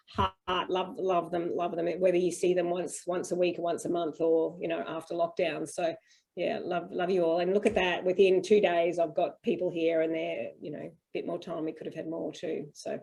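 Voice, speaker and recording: A woman with an Australian accent speaks at a moderate pace in a fairly low pitch, her intonation monotone and flat, with hardly any pauses. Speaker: homeschool parent and panel host. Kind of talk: video call Q&A panel. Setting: video call.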